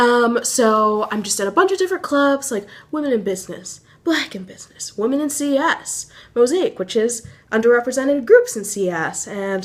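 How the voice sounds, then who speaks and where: Her intonation is lively. The woman's voice is high in pitch. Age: young. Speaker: college student vlogger. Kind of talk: casual vlog. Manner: fast.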